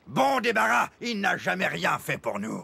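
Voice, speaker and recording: This is a cartoonish character voice from a man. His pitch sits fairly high. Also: moderate pace. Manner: gruff, bossy.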